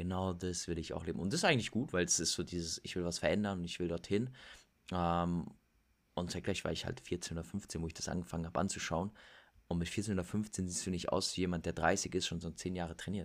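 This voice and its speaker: A man speaks at a very fast pace with a very deep, low pitch. The intonation is fairly even. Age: 20s. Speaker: fitness and lifestyle influencer. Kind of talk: casual interview.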